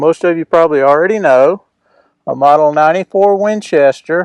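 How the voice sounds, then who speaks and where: A man speaks in an unremarkable speaking voice, fairly high in pitch with ordinary pitch variation. The sound is dry and close, with no echo. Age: 60s. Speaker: firearms and homesteading video host. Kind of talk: tutorial. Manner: casual with filler words.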